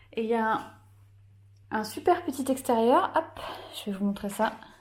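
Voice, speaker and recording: A woman's dark, mellow tone at a fairly slow pace. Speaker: vlogger and author. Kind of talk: casual vlog tour. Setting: holiday rental, indoors and garden. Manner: soft-spoken.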